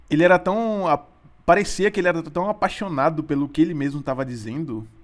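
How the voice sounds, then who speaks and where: Lively in intonation, a man with a fairly high pitch speaks at a fairly quick pace. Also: long, frequent pauses. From Sergipe, Brazil. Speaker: physics student and podcast co-host. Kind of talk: casual chat. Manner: hesitant, many repetitions and fillers.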